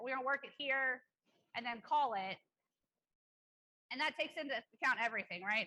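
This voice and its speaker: A woman speaks very fast in a high voice with a bright, sharp tone. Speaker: EMS clinician presenter. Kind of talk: conference lecture.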